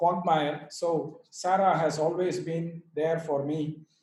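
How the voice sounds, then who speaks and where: A man's dark, mellow tone carries audible room echo. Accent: Indian. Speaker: yoga teacher and author. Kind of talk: speech at online book launch. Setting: video call.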